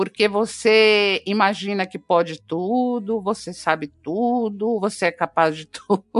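A woman speaks in a normal speaking voice at a fairly slow pace, with hardly any pauses and ordinary pitch variation. Her loudness swings widely, and the sound is dry and close with no echo. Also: medium pitch for a woman. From Brazil, Minas Gerais. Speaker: actress and screenwriter. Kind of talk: interview.

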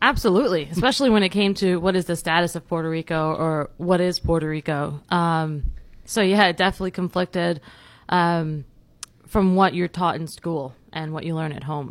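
A plain, everyday voice from a woman with an American accent, fairly low in pitch, at a moderate pace with ordinary pitch variation, on a very clean recording with a silent background. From New York City, Bronx. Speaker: criminology professor. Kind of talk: casual chat.

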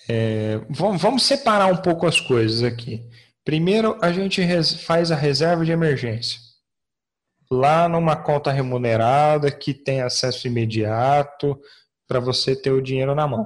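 A fairly high-pitched man with lively intonation, a fairly slow pace, long, frequent pauses and very even loudness against a quiet background. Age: 30s. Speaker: investment expert. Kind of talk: explanatory interview.

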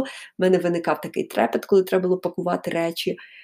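Recorded very cleanly against a silent background, a woman speaks at a medium pitch in a dark, mellow tone. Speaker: podcaster. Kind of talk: storytelling. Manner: unscripted, conversational.

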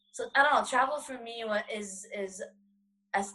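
Woman with an American accent at a fairly slow pace, with ordinary pitch variation and music in the background. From United States. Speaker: blind traveler and speaker. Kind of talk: panel discussion. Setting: video call.

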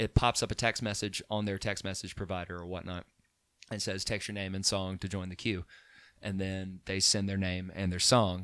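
A man's fairly low voice with an Alabama accent and monotone, flat intonation, on a very clean recording with a silent background. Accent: Southern US (Alabama). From Alabama (Chelsea). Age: 30s. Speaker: musician and DJ business owner. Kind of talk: casual chat.

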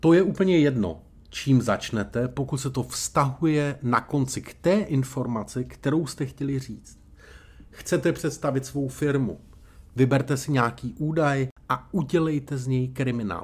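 The voice is somewhat breathy. It unfolds at a fairly slow pace. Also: man, medium pitch for a man, ordinary pitch variation. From Czechia, Brno (Moravia). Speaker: public speaking coach. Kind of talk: podcast tutorial monologue. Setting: hotel room.

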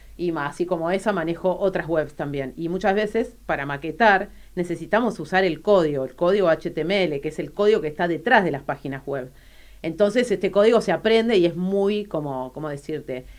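Fairly low in pitch, a woman speaks in a plain, everyday voice at a fairly quick pace with ordinary pitch variation. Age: 40s. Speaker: artist, designer and DJ. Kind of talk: radio interview.

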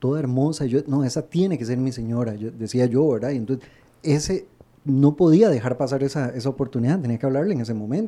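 A man talks at a very fast pace. His voice sits at medium pitch with ordinary variation. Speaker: radio co-host. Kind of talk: casual chat. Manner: stammers when nervous.

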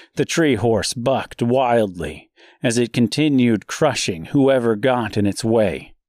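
What you hear is a natural reading voice.

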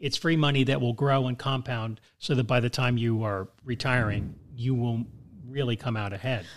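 A man's plain, everyday voice at medium pitch, moderate pace and fairly even intonation, on a very clean recording with a silent background. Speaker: podcast co-host, father. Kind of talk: casual chat.

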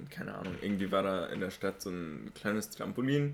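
Using a normal speaking voice, a man talks at a moderate pace and a fairly low pitch. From Germany. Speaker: podcast host. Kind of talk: casual chat.

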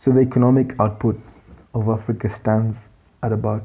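A man speaks at medium pitch with monotone, flat intonation. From Kenya. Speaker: economist podcast host. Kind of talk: solo podcast commentary. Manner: halting with fillers.

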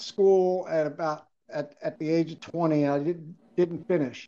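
Speaking very slowly with a Mid-Atlantic American accent, a man has a high pitch and a dark, mellow tone. His pitch varies by an ordinary amount. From Maryland (Bowie, Prince George's County). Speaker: adaptive athlete and wheelchair lacrosse founder. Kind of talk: interview.

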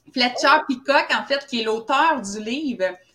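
Lively intonation in a woman's voice with a bright, sharp tone. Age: 40s. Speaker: founder of a holistic health training school. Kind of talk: casual interview.

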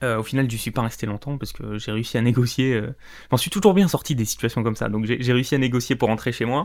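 With ordinary pitch variation, the talking moves along at a fairly quick pace. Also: man. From France, Corrèze (Limousin). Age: 20s. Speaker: podcast host, freelancer. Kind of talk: solo monologue, personal story. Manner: unscripted, some stumbling.

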